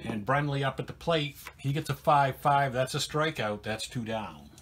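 Light background noise sits behind a man speaking at a fairly slow pace. His intonation is lively. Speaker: narrator. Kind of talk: play-by-play commentary.

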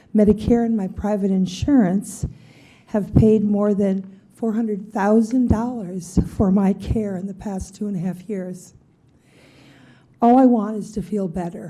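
Speaking at a fairly slow pace, a woman uses a medium-pitched, somewhat breathy voice with a dark, mellow tone and fairly even intonation. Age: 70s. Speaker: member of the public. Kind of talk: public testimony at county meeting. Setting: county board meeting.

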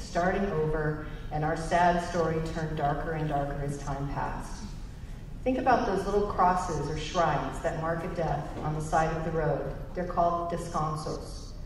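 A woman with an American accent speaks at a moderate pace with ordinary pitch variation, over light background noise and audible room echo. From Northern California, El Dorado County. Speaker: change management consultant. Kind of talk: personal testimony speech. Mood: somber personal storytelling. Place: hall. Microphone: podium.

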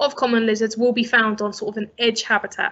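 The speech moves at a fairly quick pace against a quiet background. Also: woman. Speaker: conservation charity expert. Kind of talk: lecture. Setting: video call. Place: home room. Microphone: webcam.

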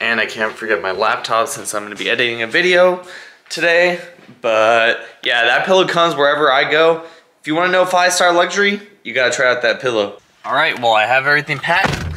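Speaking at a very fast pace, a man uses lively intonation. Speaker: vlogger. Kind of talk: casual vlog chat. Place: home room. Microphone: phone near.

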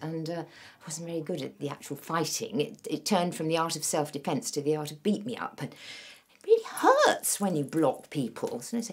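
Over a quiet background, a woman talks at a moderate pace with very wide pitch swings. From England. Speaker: actor. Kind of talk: casual audition self-introduction. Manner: energetic, chatty. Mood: humorous, playful.

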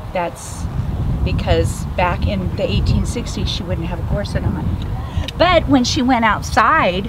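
A woman at a fairly slow pace, over loud background noise. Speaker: presenter. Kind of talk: lecture. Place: tent.

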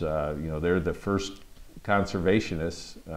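Words come at a moderate pace. They are spoken with an American accent. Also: man. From Michigan (Midland); Michigan. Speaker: congressman. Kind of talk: interview. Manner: halting, many fillers. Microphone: lapel.

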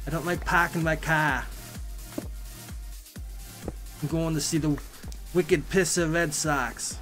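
In a put-on, nasal character voice with a Boston accent, the speaker uses a middle pitch and a fairly slow pace with long, frequent pauses. Music plays in the background. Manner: exaggerated, mocking.

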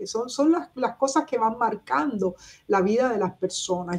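The woman's intonation is lively. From Cuba. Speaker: writer and activist; interviewee. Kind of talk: interview. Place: home room. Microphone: webcam.

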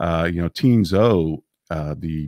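Against a quiet background, a man speaks at a very deep, low pitch in a dry sound with no echo. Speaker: interview guest. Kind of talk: interview answer. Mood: relaxed, friendly. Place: home room. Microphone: studio mic.

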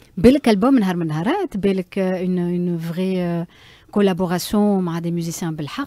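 Speaking very fast, a woman has a dark, mellow tone at a fairly low pitch, with ordinary pitch variation and a dry sound with no echo. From Tunisia. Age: 40s. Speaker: media personality and singer; interview guest. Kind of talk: casual interview. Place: studio. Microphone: studio mic.

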